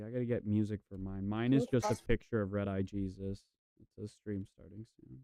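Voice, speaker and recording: A man speaks at a fairly quick pace in a fairly low pitch and a dark, mellow tone, with fairly even intonation, big swings in loudness, and a dry, close sound with no echo. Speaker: streamer and debater. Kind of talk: casual chat.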